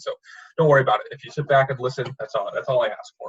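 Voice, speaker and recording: The delivery runs at a very fast pace, with a dry, close sound and no echo. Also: man. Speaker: recruiter. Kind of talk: presentation. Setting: video call. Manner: many filler words.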